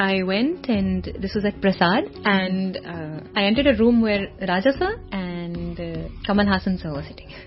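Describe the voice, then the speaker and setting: A woman speaks at a moderate pace, her loudness swinging widely, with long, frequent pauses. Noticeable background noise runs underneath. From Canada, of Kashmiri family. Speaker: playback singer. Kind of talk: radio interview.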